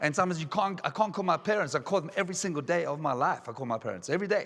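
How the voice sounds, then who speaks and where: Talking at a very fast pace, a man sounds animated. His intonation is lively. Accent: South African. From South Africa. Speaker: motivational speaker. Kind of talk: conference keynote. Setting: stage with audience.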